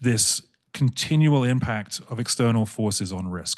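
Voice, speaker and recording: A man talks at a medium pitch with ordinary pitch variation. The sound is dry and close with no echo, and the background is quiet. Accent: British. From England. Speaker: insurance broker. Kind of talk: panel discussion. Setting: panel event with in-person and online audience. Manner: fast when excited.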